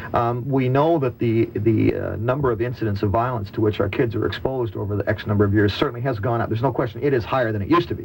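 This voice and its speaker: Over noticeable background noise, a man talks at a very fast pace with medium pitch, ordinary pitch variation, and hardly any pauses. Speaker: radio host. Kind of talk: radio talk show discussion moderating.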